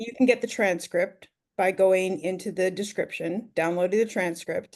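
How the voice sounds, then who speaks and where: At a moderate pace, a woman with a Canadian accent speaks in a plain, everyday voice at medium pitch with fairly even intonation. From Ontario, Canada. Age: 50s. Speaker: online business mentor. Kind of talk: mentoring Q&A.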